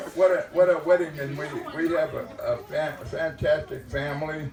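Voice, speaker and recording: A man's moderate-paced speech comes through with noticeable background noise. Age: 80s+. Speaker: grandfather of the bride. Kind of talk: wedding speech. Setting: wedding reception. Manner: halting, repeating words.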